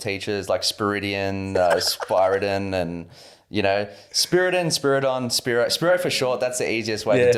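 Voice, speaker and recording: A man with an Australian accent, fairly low in pitch, fairly quick in pace and lively in intonation. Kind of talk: casual, chatty.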